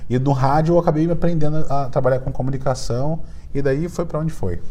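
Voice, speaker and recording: A man with a Rio de Janeiro accent and a fairly high pitch talks at a fairly quick pace. Noticeable background noise and audible room echo surround him. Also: ordinary pitch variation. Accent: carioca (Rio de Janeiro). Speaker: entrepreneur and startup mentor. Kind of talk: podcast interview. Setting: recording at a conference event.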